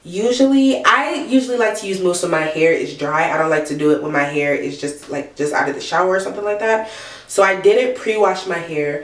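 A woman speaks at a fairly quick pace with very wide pitch swings, hardly any pauses, and audible room echo. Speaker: hair care vlogger. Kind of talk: casual vlog chat. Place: bathroom. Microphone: phone near.

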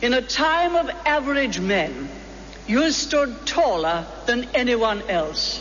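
Over noticeable background noise, a woman speaks very slowly at high pitch, with very wide pitch swings and very even loudness. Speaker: former prime minister giving a speech. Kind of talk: formal public speech at a birthday fundraising event. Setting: live event, public address.

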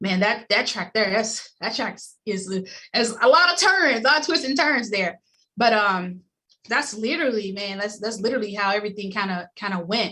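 A woman with an American accent speaks at a moderate pace, her fairly high pitch carrying a bright, sharp tone and lively intonation. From Memphis, Tennessee; Tennessee. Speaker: former Olympic bobsledder, insurance agency executive; podcast guest. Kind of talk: podcast interview. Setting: remote call. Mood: warm, smiling. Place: home room. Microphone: video call.

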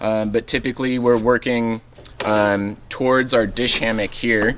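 A man talks at a moderate pace with fairly even intonation. Noticeable background noise sits behind him. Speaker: river trip guide showing gear. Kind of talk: tutorial. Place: open country.

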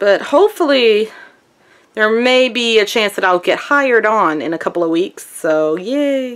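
Her pitch swings very widely. Behind the woman, the background is quiet. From US South. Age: 20s. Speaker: vlogger. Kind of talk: casual vlog. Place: home room. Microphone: phone near.

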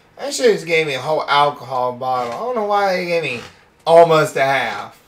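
Rather brisk talking amid clearly audible background sound. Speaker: gaming YouTuber. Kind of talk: let's play commentary.

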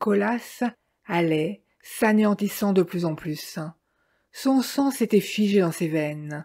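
A woman speaks very slowly at a medium pitch with lively intonation, on a very clean recording with a silent background. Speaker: audiobook reader. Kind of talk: ghost story telling, read aloud.

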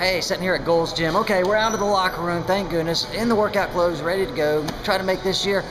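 Music plays in the background as a man speaks at a fairly quick pace. His pitch is high and his intonation fairly even. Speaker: vlogger. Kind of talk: casual vlog chat. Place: gym. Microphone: phone near.

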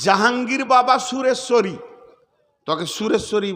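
A man's voice carries audible room echo. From West Bengal, Bardhaman. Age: 50s. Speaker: Islamic preacher. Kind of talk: sermon.

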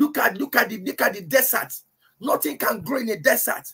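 At a moderate pace, a man talks while music plays behind him. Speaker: preacher. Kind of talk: sermon, Bible teaching to a congregation and online audience. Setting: church, livestreamed. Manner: emphatic, repeats key phrases for effect; fervent, exhorting. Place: home room. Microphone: webcam.

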